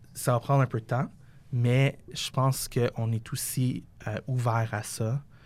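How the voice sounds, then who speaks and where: A man speaks very slowly in a somewhat breathy voice. His intonation stays fairly even. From Quebec, West Island of Montreal. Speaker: fashion designer and company founder. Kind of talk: interview.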